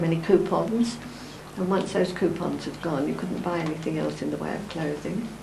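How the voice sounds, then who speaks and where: Noticeable background noise and audible room echo around a woman talking at a moderate pace. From East London. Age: 80s+. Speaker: elderly interviewee recalling history. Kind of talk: interview reminiscence.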